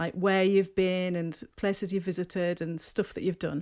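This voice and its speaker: On a very clean recording with a silent background, a woman talks fairly quickly in a northeast English accent. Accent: north-east English. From north-east England, Durham. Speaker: podcast host. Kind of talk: interview conversation.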